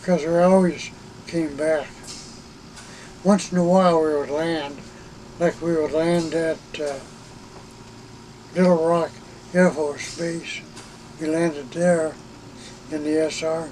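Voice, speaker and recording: Speaking at a fairly high pitch, a man talks at a fairly slow pace with long, frequent pauses. His intonation is monotone and flat over noticeable background noise. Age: 80s+. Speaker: retired air force officer. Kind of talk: interview. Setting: in an RV.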